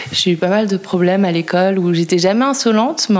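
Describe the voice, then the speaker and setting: A calm-toned woman at medium pitch, fairly quick pace and ordinary pitch variation, over noticeable background noise. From France, La Rochelle. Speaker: painter. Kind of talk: interview conversation. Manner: hesitant.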